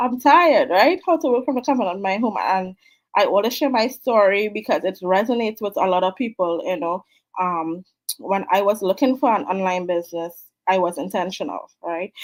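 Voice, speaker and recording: Here a woman talks in a Trinidadian accent at medium pitch. Her intonation is lively and her pace fairly quick. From Trinidad and Tobago. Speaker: online business mentor. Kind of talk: live stream talk. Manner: casual, many fillers.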